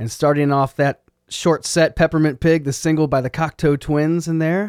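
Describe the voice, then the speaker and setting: A man with a fairly high pitch speaks at a moderate pace, the sound dry and close with no echo in a very clean recording over a silent background. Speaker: radio host. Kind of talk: radio DJ patter, introducing songs and interview clips between tracks. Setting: radio station broadcast. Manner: relaxed, folksy, enthusiastic, with a laid-back easy pace and fillers.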